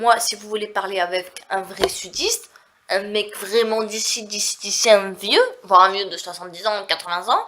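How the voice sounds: A woman speaks at a moderate pace with a medium pitch and fairly even intonation. Her voice is nasal, with a bright, sharp tone.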